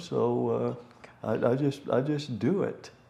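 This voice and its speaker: Noticeable background noise sits behind a man speaking. His pitch is medium, and his intonation is lively. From East Tennessee, Knoxville. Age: 80s+. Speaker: civil rights activist and historian. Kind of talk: interview, storytelling.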